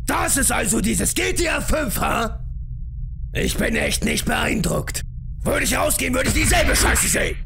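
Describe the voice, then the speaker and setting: A man does a cartoonish character voice at a moderate pace over loud background noise. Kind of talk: parody dub of animated gameplay. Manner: brash, aggressive, shouting.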